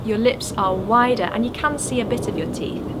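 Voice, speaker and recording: A woman speaks with lively intonation, with audible room echo and noticeable background noise around her. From northern England, Sheffield. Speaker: English teacher. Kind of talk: tutorial. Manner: clear, careful articulation.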